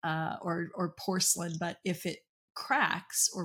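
In an American accent, a woman speaks at a fairly slow pace with fairly low pitch and a somewhat breathy sound, on a very clean recording with a silent background. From US Deep South, Okefenokee Swamp area (south Georgia). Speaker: dental business coach and CEO. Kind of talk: podcast interview.

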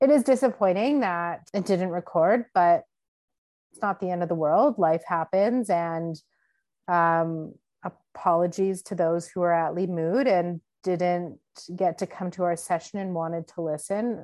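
Against a quiet background, a woman with a Canadian accent and a normal speaking voice talks fairly slowly at a fairly low pitch, with ordinary pitch variation. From Canada, Winnipeg. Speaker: podcast co-host. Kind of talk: casual chat.

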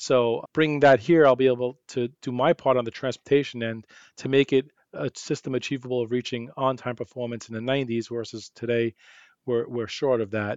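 A man's voice with a New York accent, medium in pitch, with fairly even intonation. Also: moderate pace. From New York City. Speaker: transit executive. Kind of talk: casual interview.

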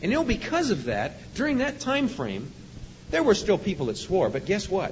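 A man talks at a moderate pace with very wide pitch swings. Audible room echo and noticeable background noise surround him. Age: 50s. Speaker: police officer. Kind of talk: sermon. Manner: animated.

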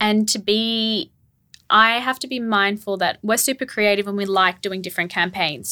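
In an Australian accent, a woman talks at a moderate pace with a medium pitch and a bright, sharp tone, recorded very cleanly against a silent background. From Australia, Melbourne. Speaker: rug business co-owner, former lawyer. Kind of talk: casual interview.

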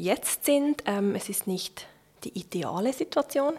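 A woman with a plain, everyday voice talks at a fairly high pitch with ordinary pitch variation. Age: 30s. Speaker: church reform advocate. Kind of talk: interview. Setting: home kitchen.

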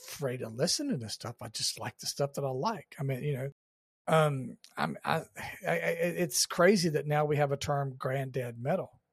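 The voice is somewhat breathy and keeps a moderate pace. The sound is dry and close with no echo, very clean with a silent background. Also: man. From Georgia, US South. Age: 50s. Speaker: podcast host. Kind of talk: casual interview chat.

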